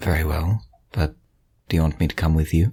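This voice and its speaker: In a raspy, put-on character voice with a very deep, low pitch, a man speaks at a fairly quick pace. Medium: actual play. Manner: formal, measured.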